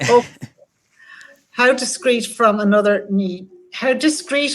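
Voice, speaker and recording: In a Wexford Irish accent, a woman speaks at a fairly slow pace with ordinary pitch variation. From Ireland, Wexford. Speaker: event host reading audience questions. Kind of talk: online talk Q&A.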